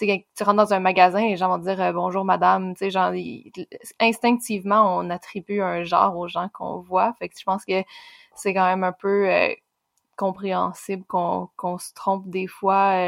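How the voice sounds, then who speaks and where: Speaking at a moderate pace in a Quebec accent, a woman keeps a medium pitch and a monotone, flat intonation while her loudness swings widely, and the sound is dry and close with no echo. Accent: Québécois French. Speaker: podcast co-host. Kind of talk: interview conversation.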